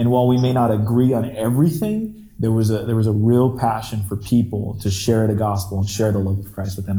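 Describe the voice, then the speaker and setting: Talking at a fairly quick pace with hardly any pauses, a man at medium pitch has a dark, mellow, somewhat breathy tone and fairly even intonation. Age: 30s. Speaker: podcast host, former band singer. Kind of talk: casual chat. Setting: remote call.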